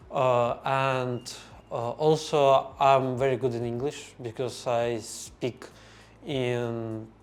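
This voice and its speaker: A man with a Russian accent speaks very slowly in a flat, monotone delivery. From Azerbaijan. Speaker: language learner. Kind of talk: podcast interview. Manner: halting.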